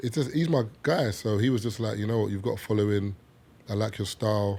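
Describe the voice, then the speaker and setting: A man with a London accent, fairly low pitch, very fast pace and fairly even intonation. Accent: British (London). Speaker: podcast guest. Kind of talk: casual chat.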